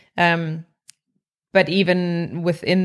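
A South African accent comes through in flat, monotone delivery on a very clean recording with a silent background. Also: woman. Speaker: corporate wellbeing executive. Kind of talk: interview.

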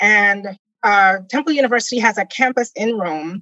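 A woman's bright, sharp tone carries lively intonation at a moderate pace. The sound is dry and close, with no echo. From Caribbean island. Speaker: podcaster and travel guest. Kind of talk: casual interview.

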